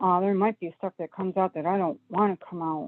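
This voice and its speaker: At a moderate pace, a woman speaks in a medium pitch with ordinary variation. She has an American accent. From US Northeast (Buffalo, New York). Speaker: caller. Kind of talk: phone-in advice call. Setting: phone call. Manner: hesitant, many fillers.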